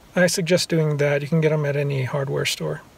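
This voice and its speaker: The man talks at a fairly quick pace, and the sound is dry with no echo. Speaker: travel vlogger. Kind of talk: casual vlog chat. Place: car. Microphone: phone near.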